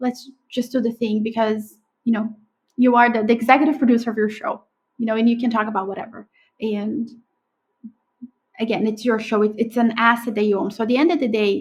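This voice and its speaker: With a Brazilian accent, a woman talks at a fairly quick pace in a fairly high, somewhat breathy voice, broken by long, frequent pauses. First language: Portuguese. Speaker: podcast agency owner. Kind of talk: interview conversation. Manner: animated.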